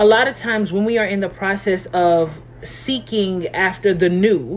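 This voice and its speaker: A woman's medium-pitched voice at a fairly slow pace, ordinary pitch variation, noticeable background noise behind it. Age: 40s. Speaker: life coach. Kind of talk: motivational talk. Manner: casual, conversational.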